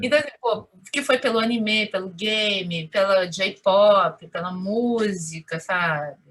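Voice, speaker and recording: Speaking very slowly yet with hardly any pauses, a woman uses a medium pitch and a Rio de Janeiro accent. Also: ordinary pitch variation. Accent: Carioca Brazilian Portuguese. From Rio de Janeiro, Madureira suburb. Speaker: Japanese consulate employee. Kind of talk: interview answer.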